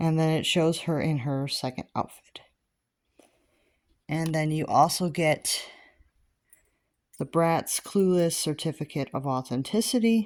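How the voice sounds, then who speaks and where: On a very clean recording with a silent background, a woman with a very deep, low pitch and ordinary pitch variation speaks at a fairly slow pace with long, frequent pauses. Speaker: doll reviewer. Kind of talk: product review. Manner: halting.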